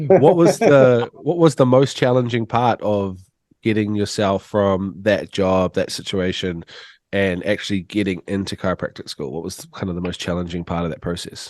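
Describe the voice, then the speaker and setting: Against a quiet background with a dry, close sound and no echo, a man with a New Zealand accent speaks at a moderate pace in a fairly low pitch with lively intonation. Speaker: podcast host. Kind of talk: podcast interview.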